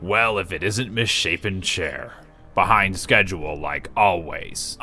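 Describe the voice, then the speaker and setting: With music in the background, a man puts on a character voice, fairly low in pitch with ordinary variation, at a fairly slow pace. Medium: solo performance. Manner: sarcastic.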